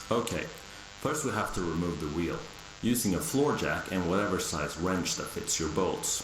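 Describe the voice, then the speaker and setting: With audible room echo, a man with a very deep, low pitch talks in a relaxed tone at a moderate pace, his intonation lively. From Sweden. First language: Swedish. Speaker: car repair tutorial maker. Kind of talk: tutorial. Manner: casual, relaxed.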